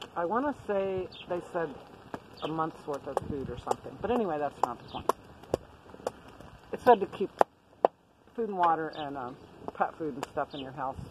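At a moderate pace with long, frequent pauses, the speech comes through dry with no echo over loud background noise. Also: woman. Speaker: prepper vlogger. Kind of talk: casual vlog chat. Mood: relaxed, reflective. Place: tent.

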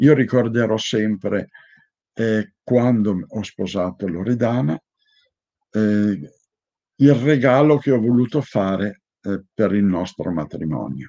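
Over a quiet background, a man speaks at a very slow pace with long, frequent pauses. His fairly low voice has a dark, mellow tone and lively intonation. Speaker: heraldry institute president; conference speaker. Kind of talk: lecture. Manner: enthusiastic. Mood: earnest, warm. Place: home room. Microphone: webcam.

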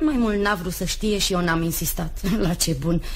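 Fairly slow, somewhat breathy speech from a woman. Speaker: radio drama actress. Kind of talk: radio drama. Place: studio.

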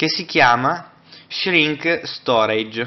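Ordinary pitch variation marks this man's speech. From Italy. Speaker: tech reviewer. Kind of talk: tutorial. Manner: halting. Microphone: camera far.

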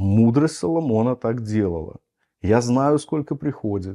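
The tone is dark and mellow, with very wide swings in pitch. The background is quiet. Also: man. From Belarus. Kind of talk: lecture. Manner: teaching, explanatory. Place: home room.

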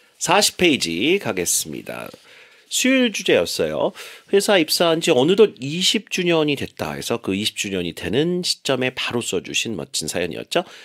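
The man talks at a fairly slow pace, his voice dry and close with no echo. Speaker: radio English teacher. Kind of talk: radio English lesson.

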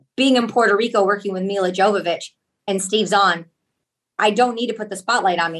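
The speaker is a woman. Her intonation is fairly even. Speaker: actress. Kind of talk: interview answer. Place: home room. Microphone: video call.

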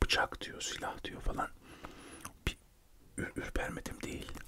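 Whispered speech comes from a man. The tempo is moderate. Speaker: radio show host and poet/writer; ASMR creator. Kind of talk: ASMR chat about his life, whispered, chewing gum. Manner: whispered, soft, chatty. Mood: calm, reflective, serious topic. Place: home room. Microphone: studio mic.

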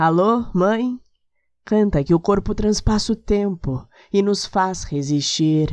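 Very slowly and with lively intonation, a woman talks over a quiet background. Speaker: poetry reciter. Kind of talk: poetry reading.

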